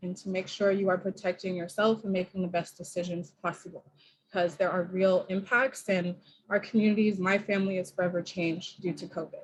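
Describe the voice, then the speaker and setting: Speaking at a fairly quick pace with an American accent, a woman sounds somewhat breathy, her intonation fairly even. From Oakland, California. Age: young. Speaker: mayoral candidate. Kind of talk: campaign speech. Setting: video call. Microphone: echo.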